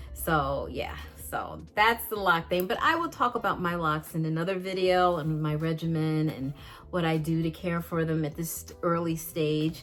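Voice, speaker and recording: A woman speaks at a moderate pace in a fairly low pitch, her intonation fairly even. Music plays in the background. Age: 60s. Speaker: beauty vlogger. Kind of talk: casual vlog tutorial. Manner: halting, many fillers.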